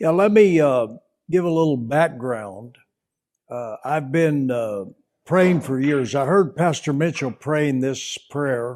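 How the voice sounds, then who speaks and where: At a very slow pace, a man with an American accent uses a fairly high pitch and lively intonation, recorded very cleanly against a silent background. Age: 80s+. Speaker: pastor. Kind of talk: testimony. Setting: on location in a home.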